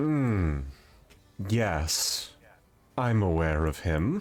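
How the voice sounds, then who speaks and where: A man puts on a character voice with a very deep, low pitch. His pitch swings very widely. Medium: actual play. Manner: cryptic, aloof.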